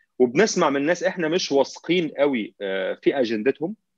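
A man's voice moves through very wide pitch swings. The sound is dry with no echo. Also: quiet background. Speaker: remote guest commentator. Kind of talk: interview answer. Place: home room.

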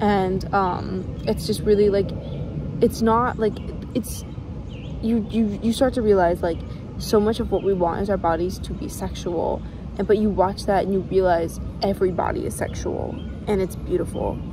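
Pausing long and often, a woman speaks at a moderate pace with fairly even intonation, in a dry sound with no echo and noticeable background noise. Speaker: vlogger. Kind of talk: casual vlog chat. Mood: earnest, reflective, personal. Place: forest. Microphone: phone near.

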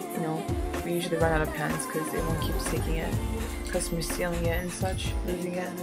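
A woman speaks at a very fast pace. Loud music plays in the background. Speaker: restaurant worker. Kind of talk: casual talk to camera. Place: home room. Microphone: webcam.

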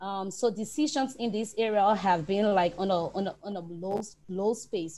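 A woman's dark, mellow voice at a moderate pace with ordinary pitch variation. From Liberia. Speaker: environmental agency officer; panelist. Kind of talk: panel discussion. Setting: video call. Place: home room. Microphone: earbuds.

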